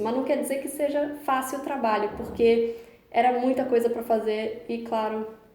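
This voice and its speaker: A woman's fairly high-pitched voice with fairly even intonation, audible room echo and noticeable background noise. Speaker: YouTuber, veterinarian. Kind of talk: casual storytelling vlog.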